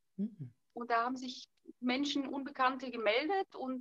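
Here a woman talks at a moderate pace in a high voice. The sound is dry and close, with no echo. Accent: Bulgarian. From Bulgaria. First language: Bulgarian (speaking German). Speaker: author and fashion designer. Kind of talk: casual interview chat. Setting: video call from an island.

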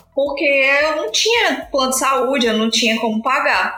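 With music in the background and audible room echo, a woman speaks in a raised, projected voice at high pitch and a moderate pace, with ordinary pitch variation. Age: 30s. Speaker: podcaster, proofreader and author, mother. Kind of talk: casual chat.

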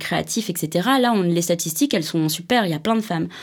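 A woman talks at a fairly quick pace with lively intonation. She has a normal speaking voice. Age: 30s. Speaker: creative director at an advertising agency. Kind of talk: interview. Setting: studio.

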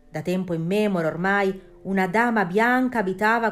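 Using a dramatic tone and lively intonation, a woman speaks at a fairly slow pace. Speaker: podcast host. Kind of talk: scripted ghost story narration, spooky and hushed. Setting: studio. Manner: slow, suspenseful, dramatic.

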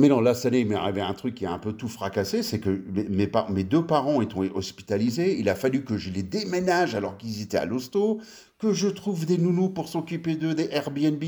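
In a very clean recording with a silent background, a man talks at a fairly quick pace with a fairly high pitch, very wide pitch swings and a dark, mellow tone. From France (western Paris suburbs), early childhood in US. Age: 50s. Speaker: designer. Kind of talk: casual chat.

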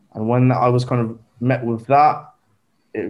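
A man speaks with a southern English accent. His pitch sits in the medium range. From southern England (Southampton). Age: 20s. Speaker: recent graduate. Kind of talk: casual chat.

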